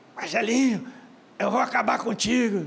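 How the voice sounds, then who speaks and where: Raspy and fairly high in pitch, a put-on character voice moves at a moderate pace. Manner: sinister, menacing.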